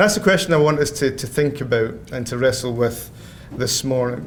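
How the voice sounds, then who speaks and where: In a Scottish accent, a man talks at a moderate pace. Audible room echo surrounds his voice. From Scotland. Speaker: theology professor. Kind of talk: lecture.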